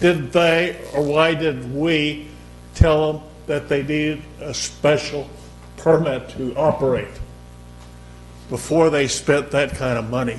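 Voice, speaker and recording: Very slow speech from a man with a fairly high voice, long, frequent pauses, audible room echo and music in the background. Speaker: former mayor speaking at public comment. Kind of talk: public comment at council meeting. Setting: council chamber. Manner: loud.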